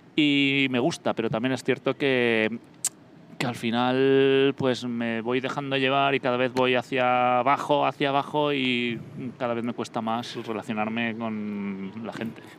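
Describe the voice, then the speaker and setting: Speaking at a fairly slow pace, a man uses a medium pitch with monotone, flat intonation. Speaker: podcast co-host. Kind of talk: casual chat. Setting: on location at a cinema complex.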